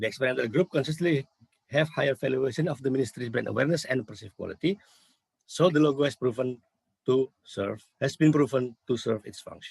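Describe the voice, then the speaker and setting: A man with a medium pitch talks at a very fast pace, somewhat breathy, with ordinary pitch variation and a dry, close sound with no echo. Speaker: university lecturer. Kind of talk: conference presentation. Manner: halting.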